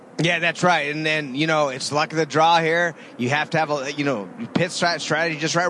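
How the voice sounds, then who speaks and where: A man talks at a fairly quick pace, his pitch fairly high. Background noise is noticeable. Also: ordinary pitch variation. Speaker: racing driver analyst. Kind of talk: live radio race analysis. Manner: conversational, knowledgeable, explanatory.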